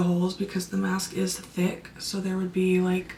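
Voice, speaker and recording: This is a woman with a medium-pitched voice. Noticeable background noise runs under her speech. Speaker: makeup content creator. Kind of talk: makeup tutorial. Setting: at home late at night.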